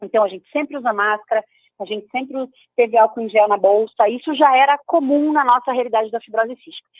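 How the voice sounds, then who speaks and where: Talking at a very fast pace, a woman with a fairly high pitch shows ordinary pitch variation and big swings in loudness. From Brazil, Curitiba (Paraná). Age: 30s. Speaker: patient advocate, founder of a cystic fibrosis institute. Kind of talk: radio interview.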